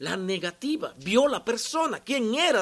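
Extremely high in pitch, a man speaks with very wide pitch swings. His pace is fairly slow. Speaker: pastor. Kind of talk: sermon. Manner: sometimes shouts.

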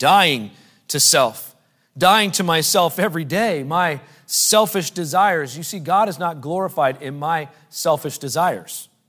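A man's bright, sharp voice, pitched fairly high, at a fairly slow pace. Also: ordinary pitch variation. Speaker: preacher. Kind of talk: sermon to a men's meeting, preached with scripture reading and direct appeals. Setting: live stage with a standing audience. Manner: emphatic and repetitive, building by refrain ('He should be increasing'); conversational and halting, with frequent 'uh' fillers.

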